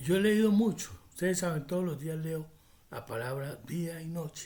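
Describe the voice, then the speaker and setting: A man talks at a moderate pace in a high pitch. His tone is dark and mellow, with ordinary pitch variation. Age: 60s. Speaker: prophecy preacher. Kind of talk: religious teaching monologue.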